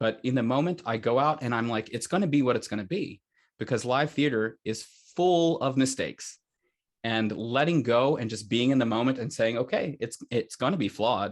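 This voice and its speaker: A man with an American accent and an unremarkable speaking voice, medium in pitch with ordinary variation, at a fairly quick pace over a quiet background. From United States. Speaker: opera singer. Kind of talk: interview answer.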